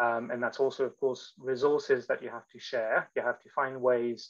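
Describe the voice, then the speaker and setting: The speaker here is male. Nothing can be heard behind him. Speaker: electron microscopy researcher and instructor; instructor. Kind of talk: lecture. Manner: fast. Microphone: video call.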